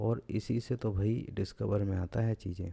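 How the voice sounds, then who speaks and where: A man talks in a relaxed, dark, mellow tone that is somewhat breathy, with fairly low pitch and ordinary pitch variation. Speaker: blogging tutorial youtuber. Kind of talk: screen-recorded tutorial. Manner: lazy, relaxed delivery.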